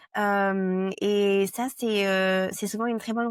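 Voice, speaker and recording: A woman speaks in a monotone, flat intonation. The recording is very clean, with a silent background and a dry, close sound with no echo. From France. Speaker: product marketing director. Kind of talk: interview. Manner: halting, many hesitations.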